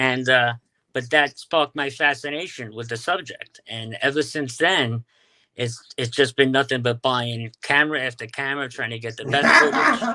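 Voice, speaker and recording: A man with a New York accent has medium pitch and a bright, sharp tone. His intonation stays fairly even while his loudness swings widely. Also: moderate pace. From Staten Island, New York. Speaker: UFO videographer. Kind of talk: interview.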